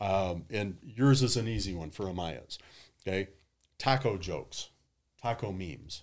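A man with a Midwestern American accent speaks at a moderate pace, pitched fairly low with ordinary variation. He leaves long, frequent pauses in a very clean recording with a silent background. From US Midwest, Detroit. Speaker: social media marketing consultant. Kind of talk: casual interview.

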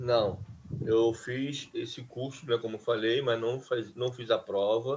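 Somewhat breathy, a man speaks very slowly in a monotone, flat intonation. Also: medium pitch for a man. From Rio de Janeiro, Brazil (Duque de Caxias). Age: 50s. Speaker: database administrator. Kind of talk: interview. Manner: halting, many fillers.

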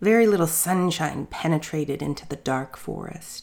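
In a very clean recording with a silent background, a woman speaks fairly slowly at a fairly low pitch, her tone animated and warm and her intonation lively. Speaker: storyteller. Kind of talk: fairy tale narration. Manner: animated, storybook-style; warm, playful.

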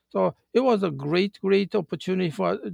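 In a Japanese accent, a man talks at a moderate pace, the sound dry and close with no echo. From Japan, countryside. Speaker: retired car company manager. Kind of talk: interview. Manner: halting.

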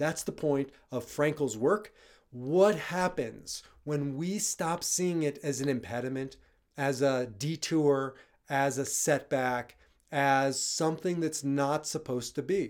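The voice has an animated, warm tone and ordinary pitch variation. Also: man, fairly high pitch for a man. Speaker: rabbi and logotherapist podcast host. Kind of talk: solo podcast monologue; angry rant. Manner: animated, reflective, warm.

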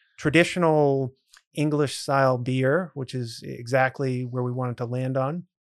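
A man with an American accent speaks at a moderate pace in an unremarkable speaking voice, medium in pitch, with fairly even intonation. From central Massachusetts (Grafton, near Worcester). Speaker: brewery owner. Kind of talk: podcast interview.

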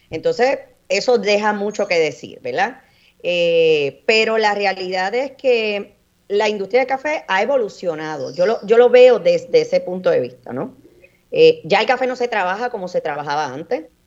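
Her pitch sits in the medium range, and she has a normal speaking voice. The woman's intonation is lively, and her pace is moderate. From Puerto Rico, Orocovis. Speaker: coffee grower and entrepreneur. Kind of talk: radio interview.

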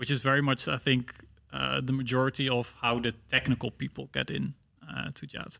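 A man with a Dutch accent at a moderate pace. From Netherlands. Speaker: student podcast host. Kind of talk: casual chat.

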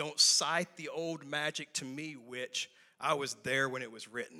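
Putting on a character voice, a man growls in a stern tone at a fairly high pitch and a moderate pace. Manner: growling, stern.

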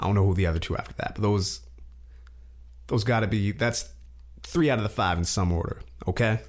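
A man's fairly low voice with vocal fry, very wide pitch swings, a fairly quick pace, and long, frequent pauses. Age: 20s. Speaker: podcast host. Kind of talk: casual solo commentary. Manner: animated.

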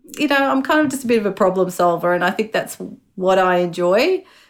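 A woman with an Australian accent talks with lively intonation. The recording is very clean, with a silent background. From Chile, raised in Melbourne from age five. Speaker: health organisation manager, scientist. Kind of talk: interview.

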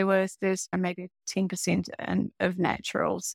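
The sound is dry and close with no echo. A woman of medium pitch talks at a moderate pace. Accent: New Zealand. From New Zealand. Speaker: fragrance brand founder. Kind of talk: panel discussion.

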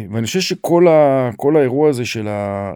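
The recording is very clean, with a silent background. A man speaks in a dark, mellow tone with lively intonation. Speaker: retired senior military officer, nonprofit director. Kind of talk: interview, personal testimony.

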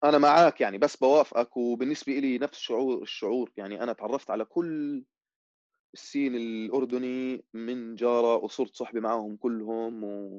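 Speaking in an ordinary speaking voice, a man talks at a moderate pace and medium pitch with fairly even intonation, the sound dry and close with no echo. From Amman, Jordan. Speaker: musician and music producer. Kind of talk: casual chat.

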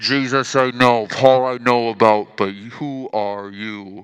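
Over a quiet background, a man speaks in a put-on character voice. His pitch is medium and his pace fairly slow. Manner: scary, menacing.

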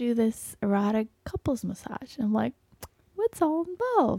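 With a dry, close sound and no echo, a woman speaks at a moderate pace in a fairly high voice with a dark, mellow tone. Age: 40s. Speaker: podcast co-host, physician. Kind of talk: casual chat.

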